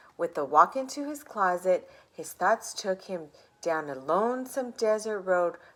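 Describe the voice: The delivery is plain reading aloud, with lively intonation throughout.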